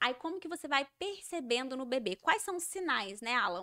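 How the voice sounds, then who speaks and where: A woman's raised, projected voice in a mineiro accent, fairly quick, with very wide pitch swings and a bright, sharp tone. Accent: mineiro accent, kept. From Minas Gerais, Brazil. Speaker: educator of deaf children. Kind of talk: podcast interview.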